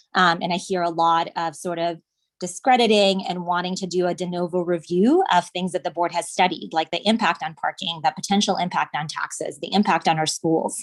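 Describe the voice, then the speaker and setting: A woman's fairly low pitch at a fairly quick pace, with fairly even intonation and a normal speaking voice. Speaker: resident speaking at public meeting. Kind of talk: public comment.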